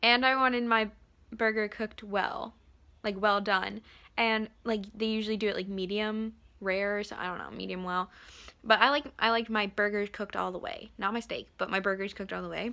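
Bright and sharp in tone, a woman talks at a fairly quick pace with fairly even intonation. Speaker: vlogger. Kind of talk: casual vlog chat. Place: home room. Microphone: phone near.

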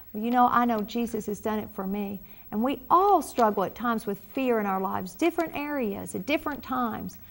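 A woman with a Southern US accent speaks at a fairly quick pace in a fairly high voice. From US South. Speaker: pastor. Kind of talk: prayer ministry broadcast. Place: studio. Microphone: lapel.

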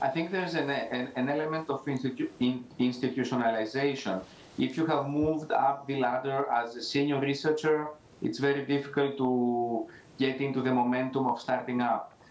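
A man talks at a fairly quick pace in a fairly high pitch. His intonation is fairly even, and the room echo is audible. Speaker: entrepreneurship center director; remote panelist. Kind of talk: panel discussion. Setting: video call. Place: office. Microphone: new microphone with audio issues; video call.

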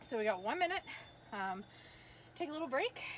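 A woman's fairly quick voice with very wide pitch swings over light background noise. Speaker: fitness instructor. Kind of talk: workout class instruction. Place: garden. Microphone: camera far.

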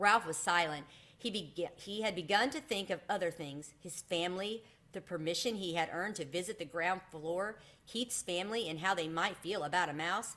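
The tone is bright and sharp. The pace is moderate, with ordinary pitch variation. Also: woman, fairly low pitch for a woman.

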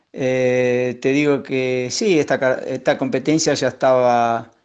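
Over a quiet background, a man with an Argentine accent speaks at a medium pitch. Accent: Rioplatense Argentine Spanish. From Argentina, Lincoln (Buenos Aires province). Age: 60s. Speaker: trail runner. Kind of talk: interview. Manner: hesitant, many fillers.

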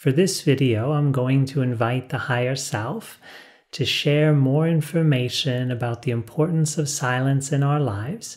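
A man talks at a moderate pace with ordinary pitch variation and a somewhat breathy sound. The background is quiet. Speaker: spiritual teacher. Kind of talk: calm spiritual talk to camera. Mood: calm, warm, smiling. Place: studio.

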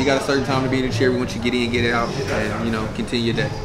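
Loud music plays behind a man who talks at a very fast pace with ordinary pitch variation. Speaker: guest. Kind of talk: interview answer. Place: bar.

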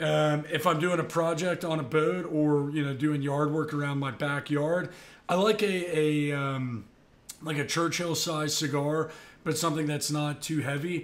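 At a fairly slow pace, a man with a plain, everyday voice speaks in a fairly high pitch with fairly even intonation. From US South, Tampa, Florida. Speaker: yacht broker and YouTuber. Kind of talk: casual talking-head video. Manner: casual, frequent filler words. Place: home room. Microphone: studio mic.

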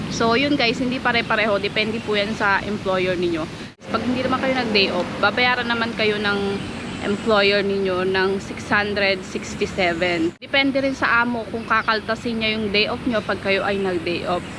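A woman speaks at a medium pitch with ordinary pitch variation, and the recording carries noticeable background noise and audible room echo. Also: fairly slow pace. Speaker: caretaker and vlogger. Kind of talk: casual vlog. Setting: outdoors in a park.

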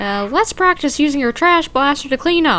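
A put-on character voice, high-pitched, at a moderate pace over clear background noise

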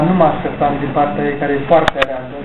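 The recording carries loud background noise. Through it, a man talks at a moderate pace. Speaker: author. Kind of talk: book launch talk. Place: hall. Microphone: camera far.

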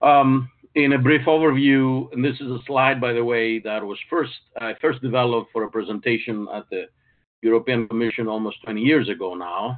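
Over a quiet background, a man talks at a moderate pace with ordinary pitch variation. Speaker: webinar presenter. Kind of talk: lecture. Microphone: video call.

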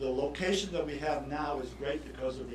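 A man talks with audible room echo. Noticeable background noise runs underneath. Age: 70s. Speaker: tennis coach. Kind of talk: public comment at council meeting. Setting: city council meeting. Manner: halting.

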